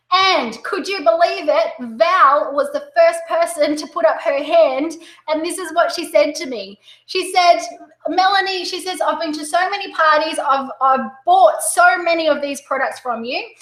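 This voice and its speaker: A woman with an Australian accent speaks at an extremely high pitch and moderate pace, with ordinary pitch variation and big swings in loudness. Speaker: direct sales coach. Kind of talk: webinar presentation. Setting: online webinar. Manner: animated.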